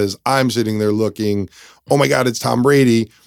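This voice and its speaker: This man has a plain, everyday voice at a medium pitch, with ordinary pitch variation. The recording is very clean, with a silent background. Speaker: podcast co-host. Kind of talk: casual banter between co-hosts. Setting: studio.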